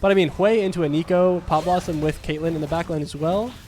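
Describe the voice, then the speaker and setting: A man's fairly high voice at a very fast pace. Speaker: esports caster. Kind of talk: live commentary. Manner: loud, yelling at big plays.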